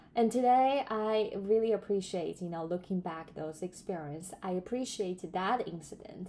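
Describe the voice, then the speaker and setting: Speaking in a non-native accent, the woman keeps a fairly slow pace. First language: not English. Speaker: self-improvement vlogger. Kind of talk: casual monologue. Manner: hesitant, many fillers.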